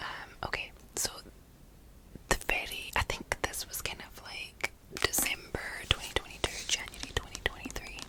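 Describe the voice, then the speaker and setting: A whispered voice goes at a moderate pace and stops often for long pauses. Background noise is noticeable throughout. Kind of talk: ASMR book review ramble. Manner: whispered, soft-spoken.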